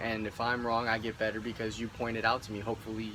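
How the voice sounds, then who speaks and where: This man has a medium pitch and an American accent. He talks at a fairly quick pace with monotone, flat intonation. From Indianapolis, Indiana. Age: 20s. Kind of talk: casual talk to camera.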